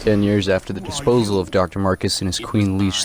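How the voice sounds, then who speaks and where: A man's very deep, low voice at a fairly quick pace, with fairly even intonation and noticeable background noise. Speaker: gaming YouTuber. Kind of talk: lore narration.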